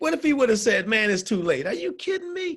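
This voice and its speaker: An animated man with an American accent talks at a fairly quick pace. His voice is high-pitched with very wide pitch swings. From Syracuse, New York. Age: 50s. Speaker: workforce development trainer. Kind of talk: motivational workshop talk.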